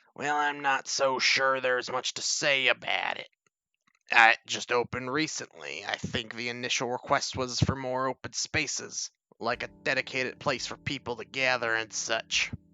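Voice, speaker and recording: Someone puts on a strained character voice and talks at a moderate pace. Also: man, medium pitch for a man. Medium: game stream. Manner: polished, condescending.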